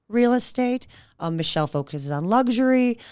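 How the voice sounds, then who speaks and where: A woman is speaking. She has an Israeli accent. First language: Hebrew. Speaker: real estate agent. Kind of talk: podcast interview.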